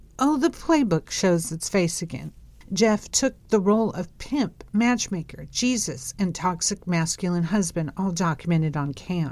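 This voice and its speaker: A woman with a normal speaking voice, a medium pitch and lively intonation, at a fairly slow pace. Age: 50s. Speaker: podcast host, cult survivor. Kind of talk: monologue review.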